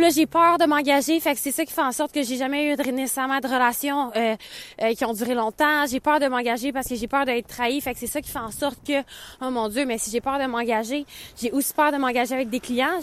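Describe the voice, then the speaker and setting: A woman's high voice, fairly quick and fairly even in intonation. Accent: Quebec. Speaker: podcast host, business coach. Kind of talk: casual monologue. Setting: outdoors, walking in snow.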